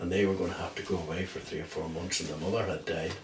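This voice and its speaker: A man with a very deep, low pitch talks at a very fast pace, with audible room echo and noticeable background noise. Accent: Northern Irish. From Northern Ireland, County Down (Dromore). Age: 70s. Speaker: oral history interviewee. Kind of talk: oral history interview. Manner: halting.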